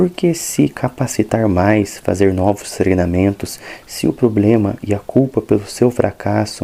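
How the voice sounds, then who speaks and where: Using a normal speaking voice, a man talks fairly slowly with a fairly low pitch and ordinary pitch variation. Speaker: ASMR creator. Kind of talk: ASMR book reading for relaxation. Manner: soft-spoken, calm.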